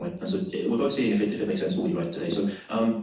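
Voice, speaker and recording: Talking at a very fast pace with very wide pitch swings, a man with a London accent is heard with audible room echo. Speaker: salesperson. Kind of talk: sales call.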